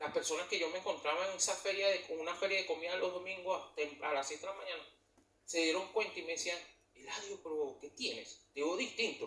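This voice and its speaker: In a raised, projected voice, a man with a Venezuelan accent speaks fairly quickly at a high pitch. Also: fairly even intonation. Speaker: church leader. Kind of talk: testimony.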